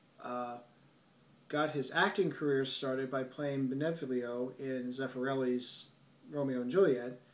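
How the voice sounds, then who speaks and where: A man at a medium pitch talks at a fairly slow pace with ordinary pitch variation and audible room echo. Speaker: film reviewer. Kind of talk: solo video review monologue. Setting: at home late at night. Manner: softer than usual; halting, many fillers.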